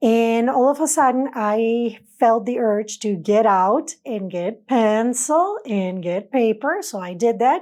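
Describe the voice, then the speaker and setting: This woman talks at a very slow pace with hardly any pauses, her fairly high pitch carried by lively intonation and a non-native accent. The recording is very clean, with a silent background. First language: not English. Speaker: spiritual channeler. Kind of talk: personal testimony.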